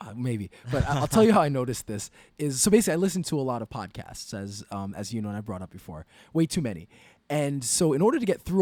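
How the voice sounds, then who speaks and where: Delivery is very fast, with very wide pitch swings and big swings in loudness. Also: man. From New York. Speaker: podcast co-host. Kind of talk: casual chat.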